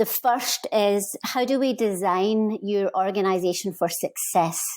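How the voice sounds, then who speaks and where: On a very clean recording with a silent background, a woman at medium pitch speaks at a very slow pace with ordinary pitch variation. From Scotland. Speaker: HR consultant. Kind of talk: interview.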